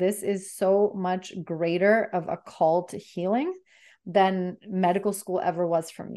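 At a fairly slow pace, a woman speaks in an ordinary speaking voice, medium in pitch with fairly even intonation, over a quiet background. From Bulgaria, then Canada. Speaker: transformational coach. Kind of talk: interview, casual chat.

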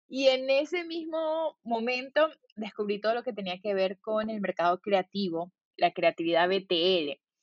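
A woman with fairly high pitch and very wide pitch swings. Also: fairly slow pace. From Venezuela (Valencia). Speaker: designer and entrepreneur. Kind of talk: interview.

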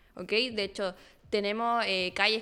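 Recorded very cleanly against a silent background, a woman with a fairly high pitch speaks at a moderate pace in a bright, sharp tone. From northern Chile (Arica, Iquique). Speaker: history student. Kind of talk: casual interview.

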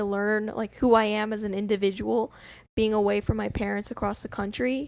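A woman with an unremarkable speaking voice, fairly high and fairly quick, on a very clean recording with a silent background. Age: 20s. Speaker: student podcast co-host. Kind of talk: casual chat.

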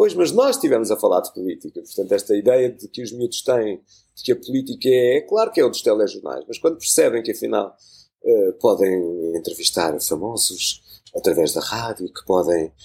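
Speaking at a moderate pace, a man's volume rises and drops in big swings. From Portugal, Lisbon. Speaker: journalist and radio producer. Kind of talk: casual interview conversation. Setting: studio.

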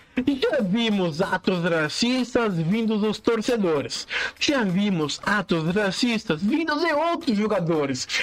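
A high-pitched man speaking very slowly with very wide pitch swings, over noticeable background noise. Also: very even loudness. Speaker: podcast host. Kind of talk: casual monologue.

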